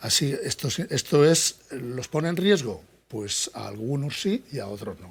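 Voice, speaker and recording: A man speaks fairly slowly at a fairly high pitch, somewhat breathy. His pitch swings very widely, and his loudness rises and falls sharply. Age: 60s. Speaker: psychology professor. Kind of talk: interview. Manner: halting, many false starts.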